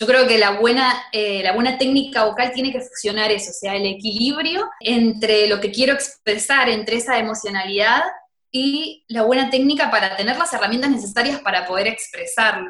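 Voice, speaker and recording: Someone speaks at a moderate pace in a Rioplatense accent. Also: woman, fairly high pitch for a woman, ordinary pitch variation, hardly any pauses. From Argentina. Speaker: singer and vocal teacher. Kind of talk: casual interview chat.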